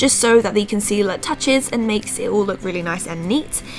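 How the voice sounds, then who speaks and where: A woman keeps a fairly quick pace while music sounds in the background. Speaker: beauty vlogger. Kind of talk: makeup tutorial voice-over.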